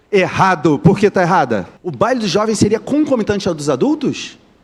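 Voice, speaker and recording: Speaking in an animated tone at a fairly quick pace, the man's pitch swings very widely. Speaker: teacher. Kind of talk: lecture. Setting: stage with audience, livestreamed. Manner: fast.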